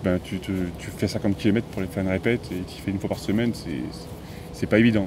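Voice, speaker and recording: A man speaks in a very deep, low pitch with fairly even intonation. Noticeable background noise runs behind him. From central France, Auvergne (Moulins area). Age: 30s. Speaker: motorcycle vlogger. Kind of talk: interview.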